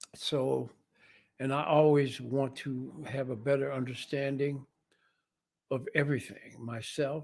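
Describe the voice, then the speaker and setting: With an American accent, a man at a fairly high pitch talks at a fairly slow pace in a monotone, flat intonation, with long, frequent pauses. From US Midwest (Missouri, then Detroit). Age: 80s+. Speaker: jazz musician. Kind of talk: interview talk about his life. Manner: hesitant, many fillers.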